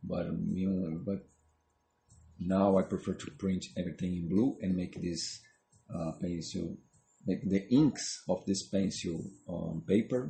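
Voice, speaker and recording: A man with a non-native accent, very deep and low in pitch, somewhat breathy, at a fairly slow pace with ordinary pitch variation and long, frequent pauses. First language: not English. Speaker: comic artist. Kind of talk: drawing tutorial narration. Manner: halting, many fillers; casual, talking while drawing.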